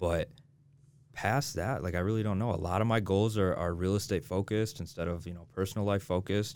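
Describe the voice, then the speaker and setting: Speaking at a fairly quick pace with ordinary pitch variation, a man with an American accent has a plain, everyday voice on a very clean recording with a silent background. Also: fairly low pitch for a man. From Michigan, near Detroit. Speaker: real estate agent. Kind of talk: casual interview.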